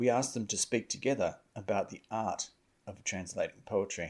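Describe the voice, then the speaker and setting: The recording is very clean, the background silent. A man speaks at a moderate pace. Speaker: podcast producer and narrator. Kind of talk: scripted narration.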